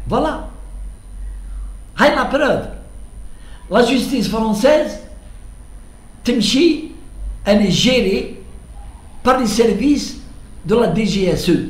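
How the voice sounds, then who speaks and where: With audible room echo, a man speaks very slowly at an extremely high pitch, with ordinary pitch variation and long, frequent pauses. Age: 70s. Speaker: political commentator. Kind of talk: monologue commentary. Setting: at home. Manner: halting, repetitive.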